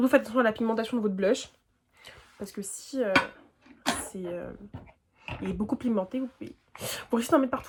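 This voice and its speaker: A woman talks very fast at a fairly high pitch, with ordinary pitch variation, long and frequent pauses, and big swings in loudness. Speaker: beauty youtuber. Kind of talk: tutorial. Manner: casual slangy.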